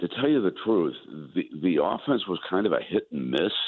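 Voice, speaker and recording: A man at a moderate pace. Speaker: veteran sports broadcaster, new radio play-by-play announcer. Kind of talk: interview answer about sports. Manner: conversational, with many filler words.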